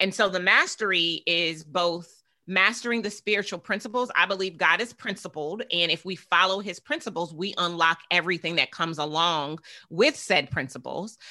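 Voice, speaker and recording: A woman's fairly low, bright, sharp voice in an animated tone against a quiet background. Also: ordinary pitch variation, moderate pace. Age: 40s. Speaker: business coach and entrepreneur. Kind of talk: interview.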